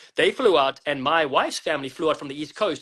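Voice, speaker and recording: Speaking with a South African accent, a man uses a fairly high pitch and ordinary pitch variation. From South Africa, Western Cape. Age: 40s. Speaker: rugby commentator and former player. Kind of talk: interview.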